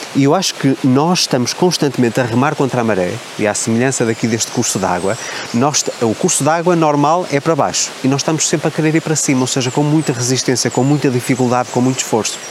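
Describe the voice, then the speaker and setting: At a very fast pace, a man speaks with medium pitch, ordinary pitch variation, and very even loudness. Noticeable background noise runs behind him. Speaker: self-help coach and YouTuber. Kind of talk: motivational vlog monologue. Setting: outdoors by a waterfall.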